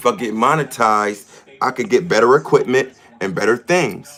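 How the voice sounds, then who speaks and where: A man with an American accent and a normal speaking voice, medium pitch, ordinary pitch variation, at a moderate pace. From US Northeast, Rochester New York. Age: 40s. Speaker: livestreamer. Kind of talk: casual livestream talk.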